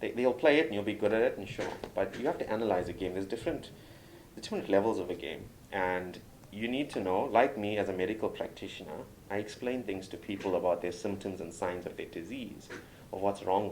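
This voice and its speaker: In a room with audible echo, a man with a South African accent speaks very fast at a fairly low pitch. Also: ordinary pitch variation. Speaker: doctor and game reviewer. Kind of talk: interview. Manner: animated.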